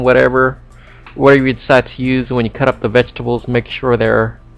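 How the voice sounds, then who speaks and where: There is a man talking at a moderate pace. Music sounds in the background. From Cambodia. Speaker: home cooking video maker. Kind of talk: cooking tutorial. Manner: casual, halting with many repetitions.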